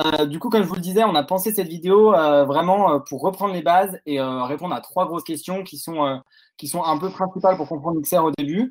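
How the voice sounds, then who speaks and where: The speech moves at a fairly quick pace with ordinary pitch variation against a quiet background. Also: man, high pitch for a man. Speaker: activist video host. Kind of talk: panel discussion. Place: home room.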